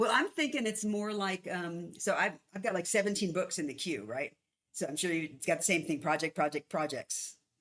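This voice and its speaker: With a normal speaking voice, a woman at a fairly low pitch speaks at a moderate pace with lively intonation. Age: 60s. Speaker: author and conflict consultant. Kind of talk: casual interview chat.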